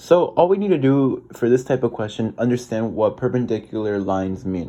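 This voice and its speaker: Medium pitch from a man with a dark, mellow tone, a fairly quick pace and a quiet background. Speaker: math tutor. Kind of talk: tutorial. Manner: casual; halting, with self-corrections.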